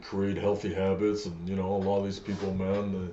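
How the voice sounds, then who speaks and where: Here a man with a fairly low voice speaks at a moderate pace. Room echo is audible. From Acadian French-speaking Canada. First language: French. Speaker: MMA fighter. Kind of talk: casual chat.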